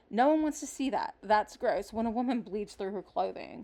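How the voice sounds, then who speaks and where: A soft-spoken woman's high voice with very wide pitch swings. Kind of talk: casual talk to camera. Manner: quiet, soft-spoken.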